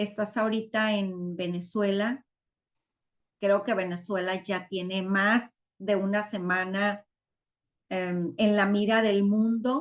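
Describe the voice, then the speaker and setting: A woman with a medium pitch speaks at a very slow pace in a monotone, flat intonation. Her speech has long, frequent pauses. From Mexico, Sinaloa. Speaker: online community host. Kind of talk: live webinar closing remarks. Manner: warm, effusive.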